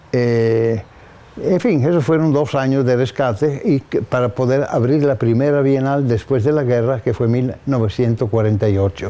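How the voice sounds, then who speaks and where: Dark, mellow male voice of medium pitch, moderately paced and fairly even in intonation. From northern Italy (Gorizia). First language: Italian (speaking Spanish). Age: 80s+. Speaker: architect. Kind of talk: interview testimony. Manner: halting.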